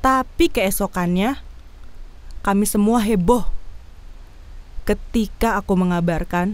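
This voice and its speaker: A woman with a medium pitch talks very slowly, using ordinary pitch variation and long, frequent pauses. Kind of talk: first-person horror story narration.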